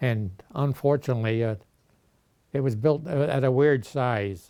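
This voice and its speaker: A man speaks at a medium pitch and a moderate pace. His tone is dark and mellow, with ordinary pitch variation. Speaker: oral history interviewee. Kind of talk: oral history interview. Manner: halting, many filler uhs.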